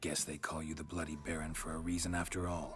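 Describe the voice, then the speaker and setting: A man speaks in a put-on character voice, very deep and low, with a deadpan tone. He talks at a very fast pace over clear background music. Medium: video game. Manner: terse, deadpan.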